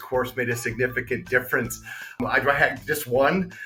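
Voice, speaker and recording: A man speaks fairly quickly, and noticeable background noise is present throughout. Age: 50s. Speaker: former teacher, student testimonial. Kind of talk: testimony. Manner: halting.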